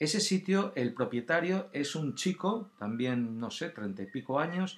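His pitch swings very widely as this man speaks at a fairly slow pace. His voice is fairly high. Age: 50s. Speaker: podcast host, former actor. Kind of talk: casual solo talk. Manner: hesitant, filler-heavy.

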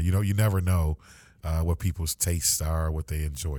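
A man speaks at a very fast pace in a dark, mellow tone. His pitch variation is ordinary. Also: very clean recording, silent background. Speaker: podcast host for a school district. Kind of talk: casual interview chat. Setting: podcast studio. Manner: halting, many fillers.

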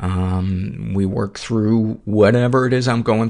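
Here a man has an unremarkable speaking voice with a fairly low pitch. His pitch variation is ordinary. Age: 50s. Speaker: podcast host. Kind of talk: casual interview.

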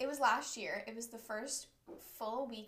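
Here is a woman with an American accent, a fairly high pitch and fairly even intonation. She has a normal speaking voice and a moderate pace. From Southern California. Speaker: college student podcaster. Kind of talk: casual chat. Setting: bedroom, recorded on a laptop. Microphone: laptop mic.

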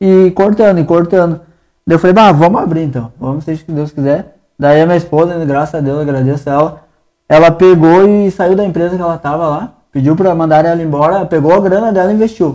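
Fairly quick in pace, a man talks in a dark, mellow tone at a high pitch with ordinary pitch variation. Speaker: barbershop owner. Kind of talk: casual chat. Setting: barbershop studio.

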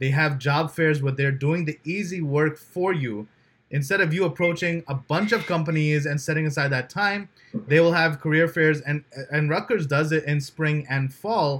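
Speaking in a New Jersey accent, a man with a fairly high pitch talks at a moderate pace in a very clean recording with a silent background. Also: ordinary pitch variation. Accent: New Jersey American. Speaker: podcast host. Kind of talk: casual interview chat.

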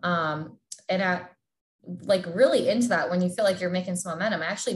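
Speaking with an American accent, this woman's voice carries a somewhat breathy quality. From Southern California. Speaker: sports dietitian. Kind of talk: casual interview.

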